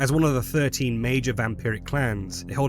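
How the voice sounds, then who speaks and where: Over music in the background, a man talks fairly quickly at medium pitch with ordinary pitch variation. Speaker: lore narrator. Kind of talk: game lore commentary.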